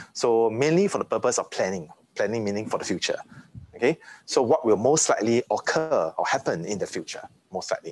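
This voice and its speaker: The speaker is a man going at a very fast pace. His sound is dry, with no echo. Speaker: university lecturer. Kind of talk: lecture. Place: classroom.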